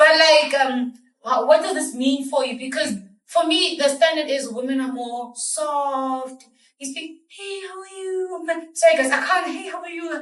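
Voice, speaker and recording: Audible room echo surrounds a woman speaking at a high pitch and moderate pace, with ordinary pitch variation and big swings in loudness. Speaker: podcast co-host. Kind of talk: casual discussion. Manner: halting.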